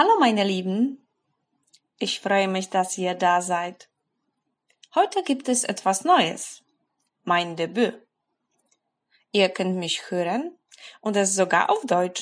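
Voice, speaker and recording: A very slow pace with long, frequent pauses, ordinary pitch variation, and a quiet background. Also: woman, medium pitch for a woman. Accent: Polish. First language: Polish (speaking German). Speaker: German language blogger. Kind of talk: motivational monologue for language learners.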